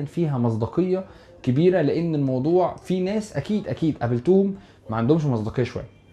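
With an Egyptian accent, a man talks at a fairly quick pace and fairly high pitch, his tone dark and mellow and his pitch variation ordinary. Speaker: YouTuber. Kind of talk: casual vlog address to viewers. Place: home room. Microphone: lapel.

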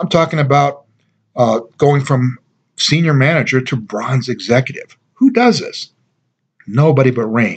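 Somewhat breathy speech is broken by long, frequent pauses. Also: man, fairly high pitch for a man, ordinary pitch variation, fairly slow pace. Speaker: network marketing distributor. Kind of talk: sales pitch. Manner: persuasive, upbeat; confident, emphatic. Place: home room. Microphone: webcam.

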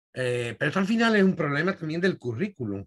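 Lively intonation marks a man's fairly quick speech. Nothing much stirs in the quiet background. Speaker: host of the society's poetry section. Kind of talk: moderating, casual-formal; moderator questions to a lecturer. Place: home room. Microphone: webcam.

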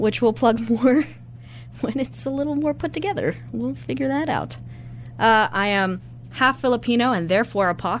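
Moderate pacing from a woman over light background noise. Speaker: college radio co-host. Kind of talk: casual radio show chat. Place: studio.

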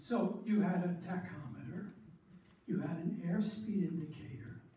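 Amid strong room echo, a high-pitched man speaks fairly slowly with ordinary pitch variation. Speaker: storyteller. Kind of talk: storytelling talk to an audience. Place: hall. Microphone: camera far.

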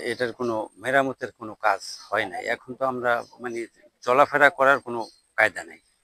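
In a normal speaking voice, a man talks at a medium pitch with fairly even intonation. The sound is dry and close, with no echo. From Barguna, southern Bangladesh. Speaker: local villager. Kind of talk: street interview.

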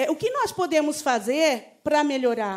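High-pitched woman at a moderate pace, very wide pitch swings, quiet background. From Brazil, Osasco (São Paulo area); Brazil. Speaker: union representative; council speaker. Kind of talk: public speech. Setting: city council chamber with audience. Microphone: podium.

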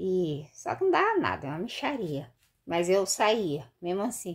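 A woman talks very slowly against a quiet background. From Brazil. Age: 50s. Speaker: vlogger, street vendor. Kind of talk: casual vlog monologue. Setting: bathroom at home. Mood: candid, slightly rueful. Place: home room. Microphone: phone near.

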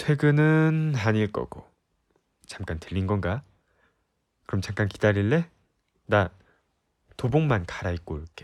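Very slowly and with long, frequent pauses, a man speaks at fairly low pitch with very wide pitch swings. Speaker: voice actor. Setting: ASMR recording, close-mic studio. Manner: bold, teasing bluster, loudly daring her to look him over.

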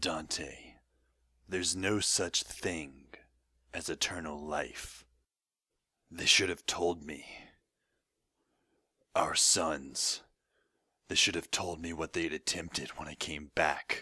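In a put-on character voice, a man speaks very deep and low with a raspy edge. His pace is fairly slow and his intonation fairly even. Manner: solemn, sorrowful.

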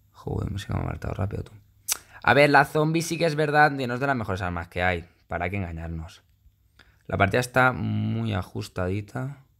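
On a very clean recording with a silent background, a man talks at a fairly quick pace in an animated tone, with very wide pitch swings and big swings in loudness. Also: fairly low pitch for a man. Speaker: gaming youtuber. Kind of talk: gameplay commentary.

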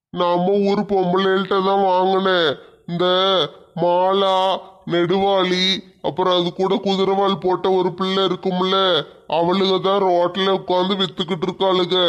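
A man's put-on character voice, high-pitched and fairly slow, in a monotone, flat intonation with very even loudness. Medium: comedy sketch. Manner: whining, wheedling.

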